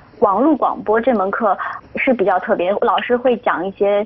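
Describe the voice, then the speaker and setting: A woman with a fairly high pitch and ordinary pitch variation talks against noticeable background noise. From Shaanxi, northwest China. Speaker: broadcasting student. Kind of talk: interview.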